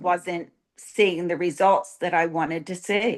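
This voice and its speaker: Her intonation monotone and flat, a woman speaks at medium pitch. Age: 60s. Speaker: coaching client. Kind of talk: testimony. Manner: halting.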